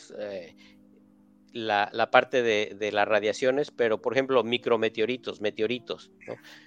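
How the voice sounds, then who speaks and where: A man's plain, everyday voice at a medium pitch, fairly slow, with fairly even intonation. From Mexico City. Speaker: space engineer. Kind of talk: interview.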